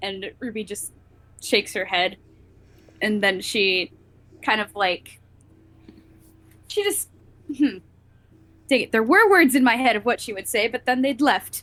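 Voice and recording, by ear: Long, frequent pauses break up the fairly slow pace. The tone is fairly bright. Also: woman, medium pitch for a woman, ordinary pitch variation.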